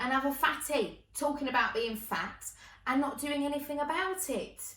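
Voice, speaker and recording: A woman speaks in a raised, projected voice at a moderate pace and high pitch. Her tone is animated, bright and sharp. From Essex, England. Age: 20s. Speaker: comedian and performer. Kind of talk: stand-up.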